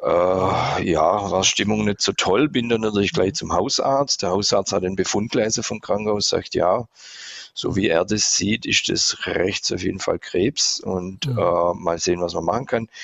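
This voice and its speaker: Noticeable background noise fills the recording. A man speaks fairly slowly over it. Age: 50s. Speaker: patient. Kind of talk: casual interview, patient testimony.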